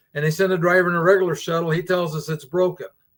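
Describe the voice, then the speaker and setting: Very fast and flat, a man talks in a high-pitched monotone. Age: 70s. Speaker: travel vlogger. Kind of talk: casual chat. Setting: live stream from a cruise ship.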